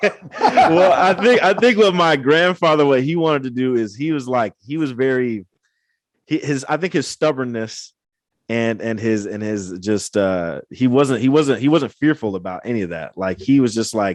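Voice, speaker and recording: Against a quiet background, a man with a medium pitch and an American accent talks at a moderate pace with very wide pitch swings. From northeast Indiana (Angola). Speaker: podcast host. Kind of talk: casual interview conversation.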